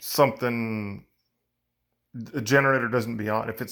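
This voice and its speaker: The recording is very clean, the background silent. A man talks at a medium pitch with fairly even intonation. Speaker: generator technician. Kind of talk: tutorial. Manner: loud.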